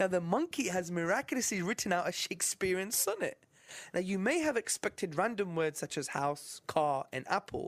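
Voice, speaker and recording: A man with a British accent speaks at a moderate pace in a high voice with lively intonation, on a very clean recording with a silent background. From UK. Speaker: Islamic apologist presenter. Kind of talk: religious lecture. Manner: stutters slightly.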